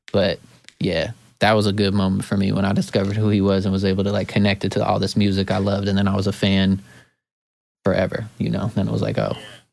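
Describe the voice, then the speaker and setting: In an American accent, a man with a fairly low, vocal-fry voice talks very fast in a monotone, flat intonation at very even loudness. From Oregon, US. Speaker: hip-hop producer. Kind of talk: casual chat.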